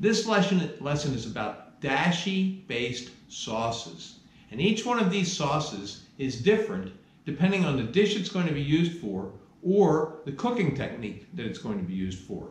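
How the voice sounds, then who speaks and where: A man at a moderate pace, with audible room echo. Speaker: cooking instructor. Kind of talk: lecture. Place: kitchen.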